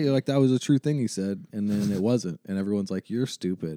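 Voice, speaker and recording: A man talks very fast, his pitch swinging very widely, over music in the background. The sound is dry and close, with no echo. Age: 30s. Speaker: podcast co-host. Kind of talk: casual chat.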